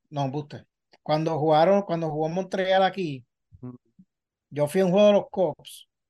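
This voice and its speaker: Speaking at a fairly slow pace with long, frequent pauses, a man uses a high pitch and fairly even intonation. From Puerto Rico. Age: 40s. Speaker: sports journalist. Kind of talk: casual interview chat.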